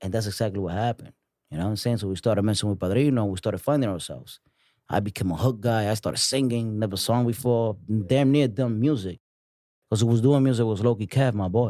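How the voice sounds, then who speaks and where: A dark, mellow tone at a very fast pace, with a strong Dominican accent, ordinary pitch variation, and a very clean recording over a silent background. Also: man, fairly low pitch for a man. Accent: thick Dominican Spanish. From New York City. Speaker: music artist. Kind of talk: casual chat.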